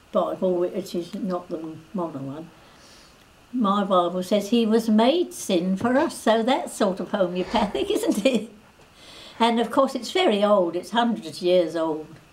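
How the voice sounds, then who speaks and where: Over noticeable background noise, a woman of medium pitch speaks at a fairly slow pace with lively intonation. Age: 80s+. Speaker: homeopathy practitioner. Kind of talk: interview. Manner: halting.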